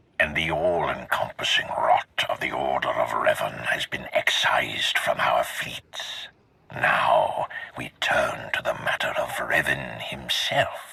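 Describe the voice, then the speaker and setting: At a fairly slow pace, a man talks in a put-on character voice. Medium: video game. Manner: grave, measured, imperious.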